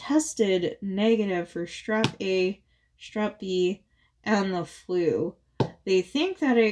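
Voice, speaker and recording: A woman's medium-pitched voice at a very slow pace. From Phoenix, Arizona, US. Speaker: crafting YouTuber. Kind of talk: casual chat. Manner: hesitant, filler-heavy.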